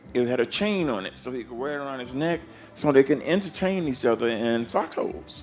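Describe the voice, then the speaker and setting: The speaker has a Southern US accent and talks at a fairly quick pace with lively intonation. The tone is animated, and the loudness swings widely. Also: man, medium pitch for a man. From US South (Georgia and Florida). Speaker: blues harmonica player. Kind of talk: interview storytelling. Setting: backstage at a festival.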